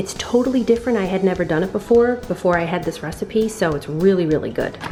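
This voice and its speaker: Over noticeable background noise, a woman talks at a very fast pace in an animated tone, her medium pitch showing ordinary variation. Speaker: vlogger. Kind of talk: cooking tutorial. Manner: soft, lowered voice.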